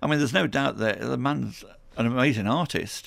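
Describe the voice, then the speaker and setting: On a very clean recording with a silent background, a man with vocal fry speaks at a medium pitch using lively intonation. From Stoke-on-Trent, England. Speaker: artist. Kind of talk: radio interview.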